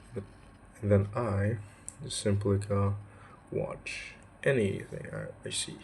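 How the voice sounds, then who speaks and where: A man with an Indonesian accent and fairly low pitch, very slow with long, frequent pauses and big swings in loudness, amid audible room echo. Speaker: student. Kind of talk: vlog. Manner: casual, filler-heavy.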